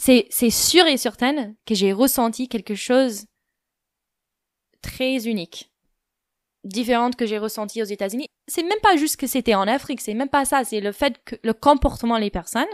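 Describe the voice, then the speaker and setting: A woman talks at a high pitch with long, frequent pauses. The recording is very clean, with a silent background. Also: ordinary pitch variation, moderate pace, dry, close sound with no echo. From United States. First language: English (speaking French). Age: 20s. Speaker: podcast guest. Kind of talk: personal testimony. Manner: hesitant, many fillers.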